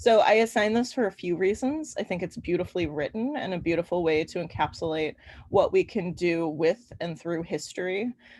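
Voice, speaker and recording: Against a quiet background, someone with an American accent speaks at a fairly quick pace with lively intonation. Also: woman, fairly low pitch for a woman. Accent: Midwestern Chicago accent, slips out. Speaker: university history instructor. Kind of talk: online lecture. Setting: online class with chat. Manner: casual, filler-heavy.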